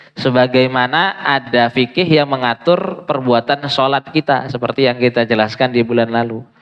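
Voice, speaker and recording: Over noticeable background noise, a man with a medium pitch and ordinary pitch variation speaks with hardly any pauses. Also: moderate pace. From Indonesia, Medan (North Sumatra). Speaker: Islamic preacher and teacher. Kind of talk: religious lecture. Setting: mosque.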